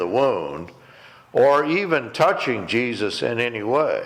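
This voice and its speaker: This man speaks very slowly in a fairly high voice, with noticeable background noise in the recording. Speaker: preacher, ministry director. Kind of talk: sermon.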